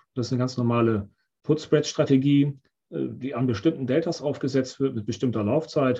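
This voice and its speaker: A man's somewhat breathy voice, dark and mellow in tone, at a medium pitch and moderate pace with ordinary pitch variation. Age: 50s. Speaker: options trader. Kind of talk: interview.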